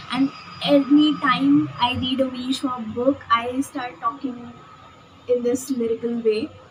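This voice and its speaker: A woman with a high voice speaks at a fairly slow pace and ordinary pitch variation, over noticeable background noise. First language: not English. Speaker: book vlogger. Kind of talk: casual vlog book review. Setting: outdoors on a balcony.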